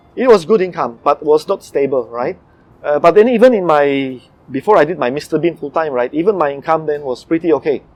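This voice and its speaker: This voice has a Malaysian accent. Its intonation is lively. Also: man, fairly high pitch for a man. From Eastern Europe (ex-communist country). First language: not English. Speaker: comedy impersonator. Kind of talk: interview.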